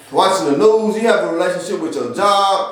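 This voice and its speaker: With audible room echo and noticeable background noise, a man talks in a high voice with ordinary pitch variation. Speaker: spiritual teacher. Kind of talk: lecture. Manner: fast.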